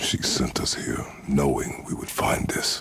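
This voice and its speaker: Someone whispers in a put-on character voice at a fairly slow pace. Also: man. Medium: machinima. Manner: terse, gruff, slow.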